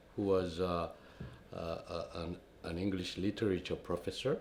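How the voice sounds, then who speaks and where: Speaking at a fairly slow pace, a man with a Korean accent has a fairly low pitch. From South Korea. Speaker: retired diplomat. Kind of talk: interview. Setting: university office.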